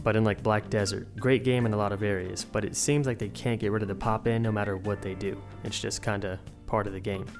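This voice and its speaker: Very fast, monotone, flat delivery over music in the background. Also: man, fairly low pitch for a man. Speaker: gaming video creator. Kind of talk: game review narration. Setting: temporary room while traveling. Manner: low, quiet voice.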